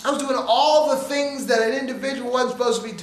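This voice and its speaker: In an animated tone, a man with an extremely high pitch speaks fairly quickly with ordinary pitch variation, amid noticeable background noise and audible room echo. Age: 60s. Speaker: motivational speaker. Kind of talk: motivational talk. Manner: repetitive, stammering restarts.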